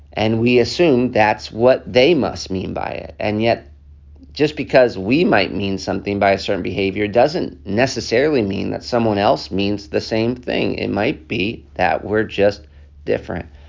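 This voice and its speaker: Here a man with an American accent uses a normal speaking voice. His pitch is fairly low, his pace moderate and his intonation lively. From United States. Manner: earnest, pleading, with frequent fillers.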